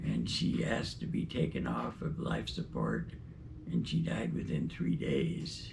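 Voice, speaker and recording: A man with a very deep, low pitch talks at a fairly slow pace, with ordinary pitch variation and very even loudness. Audible room echo and noticeable background noise fill the recording. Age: 80s+. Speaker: retired doctor. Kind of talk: personal reflection.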